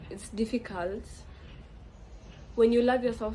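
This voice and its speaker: With a Kenyan accent, a woman speaks using fairly even intonation. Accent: Kenyan, clearly present. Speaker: podcast host. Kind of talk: casual monologue podcast.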